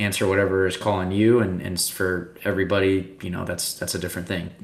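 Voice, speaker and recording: A man with an American accent and a very deep, low pitch speaks at a fairly quick pace in a flat monotone, with audible room echo and noticeable background noise. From Texas, Austin. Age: 30s. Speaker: pro paintball player. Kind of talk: casual interview.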